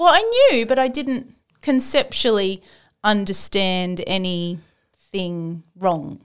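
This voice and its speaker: A woman speaks very slowly with an Australian accent. The recording is very clean, with a silent background. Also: medium pitch for a woman, lively intonation. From Western Sydney, Australia. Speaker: Lifeline volunteer, former banker. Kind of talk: casual interview.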